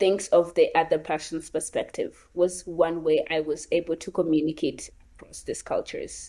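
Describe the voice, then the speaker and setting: A woman with a Kenyan accent speaks at a fairly slow pace in a very clean recording with a silent background. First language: Luo. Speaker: gap year program participant. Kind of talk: interview conversation.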